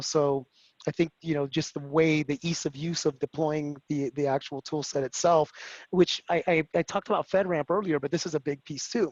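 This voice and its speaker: Speaking in a Spanish accent, a man talks at a fairly quick pace and fairly high pitch with fairly even intonation. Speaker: security executive at a cloud company. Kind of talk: webinar panel discussion. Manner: fast.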